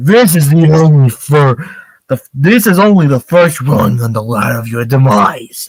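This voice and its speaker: A man puts on a booming, robotic character voice, fairly high in pitch. He speaks at a moderate pace with lively intonation. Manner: menacing, boastful.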